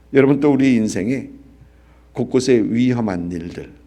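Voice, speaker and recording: Amid audible room echo, a man speaks at a medium pitch with a dark, mellow tone. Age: 60s. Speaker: pastor. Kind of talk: sermon. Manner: halting, many fillers.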